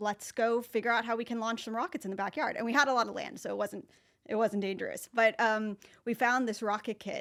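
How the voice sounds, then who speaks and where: In a very clean recording with a silent background, a woman with an American accent, a fairly high pitch and fairly even intonation speaks in an unremarkable speaking voice. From US, Northern California. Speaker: marketing professor. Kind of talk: podcast interview. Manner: casual, with many fillers.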